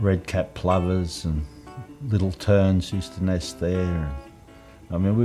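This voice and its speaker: A man with an Australian accent, with music in the background. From Lake Illawarra, New South Wales, Australia. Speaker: naturalist and environmentalist. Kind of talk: reminiscing interview answer. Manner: casual, conversational.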